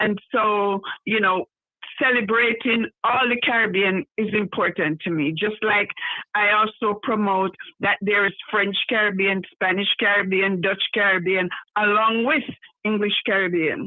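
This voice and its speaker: A Jamaican accent at a fairly slow pace. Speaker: carnival organizer. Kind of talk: live podcast interview.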